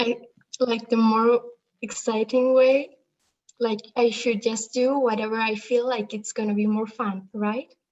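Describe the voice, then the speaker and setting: Her intonation monotone and flat, a woman speaks fairly slowly at a fairly high pitch. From Spain. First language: Spanish. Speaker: livestream participant. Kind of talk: Q&A question. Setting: livestream. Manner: halting.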